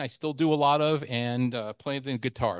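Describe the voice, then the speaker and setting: A man with an American accent speaks at a fairly quick pace against a quiet background. He has an ordinary speaking voice, medium pitch and ordinary pitch variation. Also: dry, close sound with no echo. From New York, Long Island. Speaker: amateur radio presenter, chemist. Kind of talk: club presentation talk. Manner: casual, with frequent fillers.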